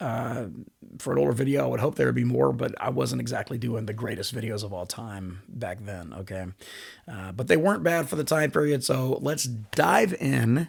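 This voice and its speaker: A man speaks at a moderate pace in a medium pitch with a slight Southern US accent, vocal fry and very wide pitch swings, on a very clean recording with a silent background. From US South. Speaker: bass player and YouTuber. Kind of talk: reaction commentary.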